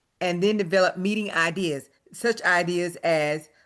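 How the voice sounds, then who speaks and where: A woman's unremarkable speaking voice with an American accent, fairly low in pitch with ordinary pitch variation, against a quiet background. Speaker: retired educator, association member. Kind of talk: workshop presentation. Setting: video call.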